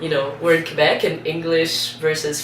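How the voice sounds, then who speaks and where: The speaker has a Portuguese accent and keeps a moderate pace. Noticeable background noise runs underneath. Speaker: singer in a band. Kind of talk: interview.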